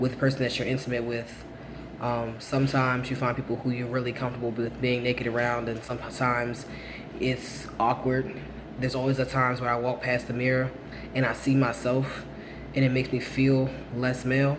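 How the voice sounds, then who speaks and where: A man speaks at a fairly quick pace in a medium pitch with monotone, flat intonation. Audible room echo and noticeable background noise surround his voice. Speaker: vlogger documenting transition. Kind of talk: casual vlog update. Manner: hesitant, many fillers.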